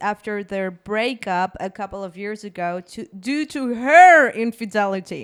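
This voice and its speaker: In a very clean recording with a silent background, a woman with a Spanish accent speaks at a fairly slow pace, her fairly high voice animated in tone and lively in intonation. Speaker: podcast host. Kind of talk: reading aloud with reactions.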